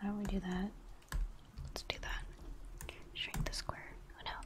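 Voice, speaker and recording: The speaker is whispering. The pace is moderate. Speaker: ASMR streamer who draws digital emotes live. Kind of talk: casual live-stream chatting while drawing. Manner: whispered, soft ASMR delivery. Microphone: studio mic.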